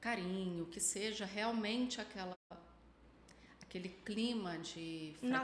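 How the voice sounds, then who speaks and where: A woman speaks at a fairly slow pace with ordinary pitch variation and long, frequent pauses. Background noise is noticeable. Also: medium pitch for a woman. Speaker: psychologist. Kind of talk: casual chat.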